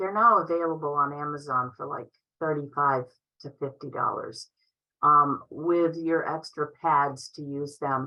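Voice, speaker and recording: Fairly slow, fairly even speech with an American accent. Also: woman, very deep, low pitch for a woman. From Upstate New York. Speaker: MS nurse presenter. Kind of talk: Q&A in online conference.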